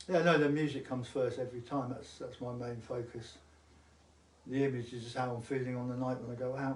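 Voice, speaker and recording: A man with an English accent, medium pitch and monotone, flat intonation at a fairly quick pace. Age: 70s. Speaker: musician. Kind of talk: casual chat.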